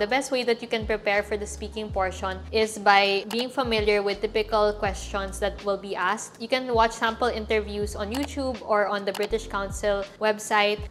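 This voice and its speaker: Music plays in the background as a woman speaks at a moderate pace. She leaves hardly any pauses. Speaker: lifestyle and travel vlogger. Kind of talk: casual, instructional vlog. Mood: calm, friendly. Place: home room.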